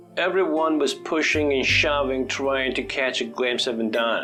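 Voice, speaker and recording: With music in the background, a man speaks in an American accent at a fairly slow pace and very even loudness. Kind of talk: English vocabulary lesson narration, teaching synonyms with example sentences.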